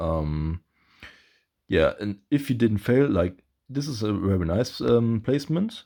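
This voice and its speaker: On a very clean recording with a silent background, a man with a non-native accent speaks very slowly in a dark, mellow tone, his pitch swinging very widely. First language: not English. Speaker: gaming YouTuber. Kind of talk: gameplay commentary. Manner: halting, many fillers.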